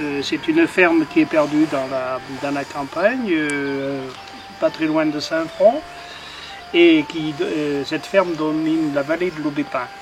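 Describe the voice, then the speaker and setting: Music in the background behind a man at a very slow pace, his pitch fairly high and its variation ordinary. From France, Haute-Loire, Mézenc plateau. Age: 60s. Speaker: retired postman and thatcher. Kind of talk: demonstration interview. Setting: in a barn. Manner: halting, many hesitations.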